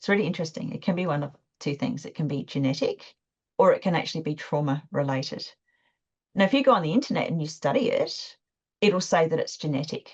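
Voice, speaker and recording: A somewhat breathy woman's voice, fairly low-pitched, at a very fast pace, with very wide pitch swings and big swings in loudness. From Australia, Adelaide (South Australia). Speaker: guest speaker on esoteric topics. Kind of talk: interview conversation.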